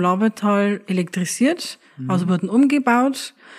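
At a moderate pace, a woman speaks in a normal speaking voice at medium pitch. Her intonation is lively. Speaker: innkeeper. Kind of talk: interview.

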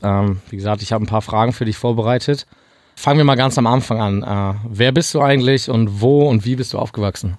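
In a plain, everyday voice, a man talks fairly quickly at medium pitch with ordinary pitch variation, on a very clean recording with a silent background. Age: 20s. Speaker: podcast host. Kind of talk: interview. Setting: studio.

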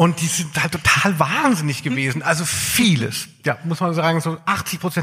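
A fairly high male voice at a moderate pace, over noticeable background noise. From southern Hesse, Germany (Darmstadt). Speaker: podcast host, music journalist. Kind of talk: live podcast on stage, casual banter. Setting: stage with live audience.

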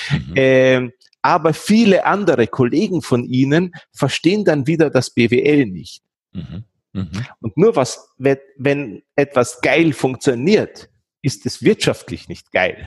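A man speaks very slowly at a fairly high pitch, with vocal fry and very wide pitch swings. The sound is dry and close, with no echo. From Austria, Vienna. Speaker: SEO and online marketing consultant. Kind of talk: interview. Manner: hesitant, many fillers.

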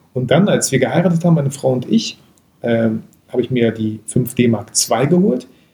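A man talks at a moderate pace in a medium pitch. His voice is somewhat breathy, with ordinary pitch variation. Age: 30s. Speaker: photographer and YouTuber. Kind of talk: casual interview.

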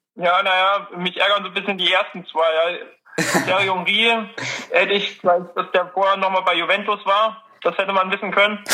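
Over noticeable background noise, a man uses a raised, projected voice at a high pitch, keeping a moderate pace, very even loudness and a monotone, flat intonation. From Dresden, Saxony, Germany. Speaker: student, quiz contestant. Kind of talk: casual chat.

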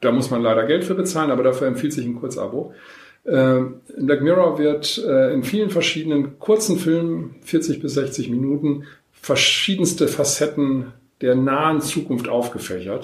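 A man talks at a fairly high pitch, and audible room echo hangs around his voice. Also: ordinary pitch variation, moderate pace. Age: 50s. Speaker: social welfare organisation manager. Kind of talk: interview. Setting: on location, not in a studio.

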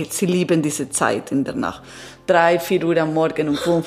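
Music plays behind a woman speaking in an Italian accent. She talks at a fairly slow pace with ordinary pitch variation. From Italy and Peru. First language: Italian (speaking German). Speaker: transpersonal coach. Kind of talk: interview testimony. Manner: halting.

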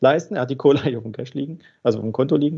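The man's voice has a dark, mellow tone. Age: 40s. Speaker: banker and financing specialist. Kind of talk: casual interview.

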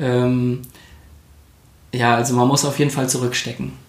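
Noticeable background noise under a man's voice. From Koblenz, western Germany. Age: 30s. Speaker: architect and new father. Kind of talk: interview.

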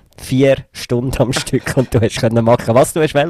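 Against noticeable background noise, a man with a Swiss accent and fairly high pitch talks at a moderate pace. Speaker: podcast co-host, father. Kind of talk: casual chat.

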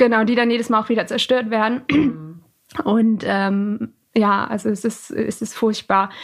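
A woman speaks at a fairly slow pace in a normal speaking voice. Her pitch is fairly high, with ordinary pitch variation. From Lower Saxony, Germany (Alfeld near Hildesheim). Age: 20s. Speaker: student and volunteer interpreter for refugees. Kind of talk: interview. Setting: home office recording.

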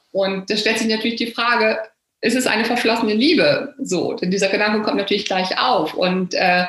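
The speech moves at a moderate pace with ordinary pitch variation, and audible room echo surrounds it. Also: woman. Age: 50s. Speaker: novelist and health journalist. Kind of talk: interview about her book.

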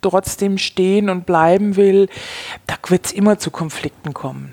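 A woman speaks at a fairly low pitch with fairly even intonation, the sound dry and close with no echo. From Bavaria, Germany. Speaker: wine expert and former sommelier. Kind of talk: interview conversation.

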